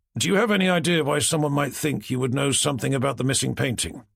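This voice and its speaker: A man in a raspy, put-on character voice speaks very fast at a fairly high pitch, with lively intonation and very even loudness. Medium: read story. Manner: dry, blunt.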